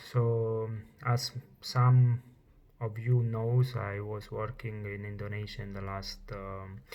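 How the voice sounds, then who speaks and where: A man's somewhat breathy voice at a medium pitch. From Italy. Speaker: chef. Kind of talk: personal testimony vlog. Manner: halting, many fillers.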